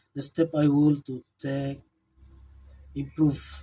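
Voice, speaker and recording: The man's voice sits fairly high in pitch, with a dark, mellow tone and a somewhat breathy quality. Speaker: student. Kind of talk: self-evaluation speech. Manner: halting.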